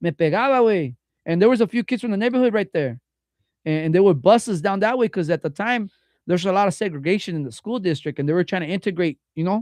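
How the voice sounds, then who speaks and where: Against a quiet background, a man talks very fast at a high pitch with lively intonation, the sound dry and close with no echo. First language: Spanish. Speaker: podcast host. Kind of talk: casual chat. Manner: code-switching Spanish and English slang.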